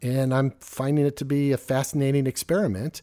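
A man with an American accent and a dark, mellow tone, on a very clean recording with a silent background. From Southern California, Orange County. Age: 50s. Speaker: community organizer and podcast co-host. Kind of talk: casual interview telling life story.

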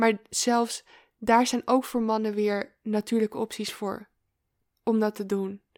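On a very clean recording with a silent background, a woman's fairly high-pitched voice sounds dry and close, with no echo. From Amsterdam, Netherlands. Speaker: feminine embodiment coach. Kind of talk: interview conversation. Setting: in person.

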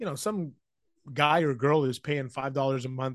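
A man speaks with an ordinary speaking voice at a moderate pace. His pitch is fairly high. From Vancouver, Canada. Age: 40s. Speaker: sports journalist. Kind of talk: casual interview. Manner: conversational, filler words.

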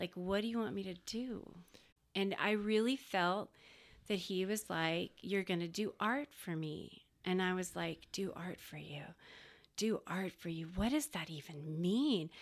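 A woman with a plain, everyday voice and an American accent speaks at a fairly slow pace, with medium pitch and ordinary pitch variation, in a very clean recording against a silent background. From Texas, Dallas-Fort Worth area. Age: 40s. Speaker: graphic designer. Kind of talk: casual chat.

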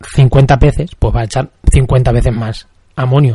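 The voice belongs to a man, dark and mellow in tone. There is a somewhat breathy quality to it. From Spain, La Mancha. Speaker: podcast host, aquarium hobbyist. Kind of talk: solo podcast tutorial. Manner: halting, frequent repetitions.

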